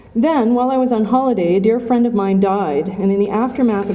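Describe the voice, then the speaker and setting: Amid noticeable background noise and audible room echo, a woman talks at a fairly quick pace. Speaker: academic conference speaker. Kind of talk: lecture. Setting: conference hall with audience, at podium with mic. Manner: reading from written notes.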